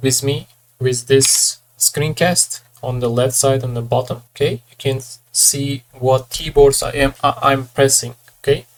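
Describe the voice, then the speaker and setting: The talking is very slow. It comes with a non-native accent. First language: not English. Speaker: 3D artist, tutorial creator. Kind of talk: tutorial. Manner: halting, with hesitations.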